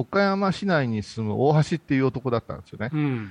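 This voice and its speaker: Swinging very widely in pitch, a man with a fairly high voice is recorded with dry, close sound and no echo. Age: 50s. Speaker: Buddhist priest. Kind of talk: casual chat. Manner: laughs often.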